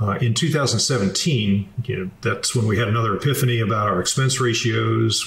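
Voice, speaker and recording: Noticeable background noise and audible room echo surround a man's medium-pitched voice. He talks at a fairly quick pace with ordinary pitch variation. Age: 60s. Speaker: military retiree and finance author. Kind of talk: interview. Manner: measured, with frequent filler 'uh'.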